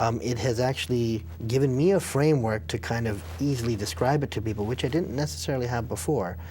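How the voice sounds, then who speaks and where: A man with an American accent talks at a very fast pace and a medium pitch, with lively intonation and hardly any pauses. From international upbringing, English boarding school, Indian parents. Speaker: film director. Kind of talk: interview. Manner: halting, frequent restarts.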